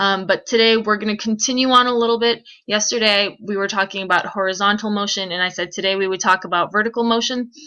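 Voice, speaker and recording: This woman's voice has a bright, sharp tone and fairly even intonation. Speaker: physics teacher. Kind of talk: recorded lecture. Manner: fast; loud.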